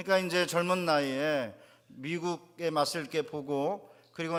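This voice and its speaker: A man speaks at a moderate pace with fairly even intonation. He has a normal speaking voice. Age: 60s. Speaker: pastor. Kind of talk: sermon.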